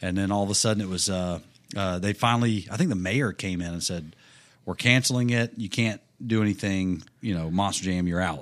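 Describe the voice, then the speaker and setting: The recording is very clean with a silent background. A man talks fairly quickly in an ordinary speaking voice, fairly low in pitch with ordinary pitch variation. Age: 30s. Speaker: monster truck driver and author. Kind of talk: casual chat.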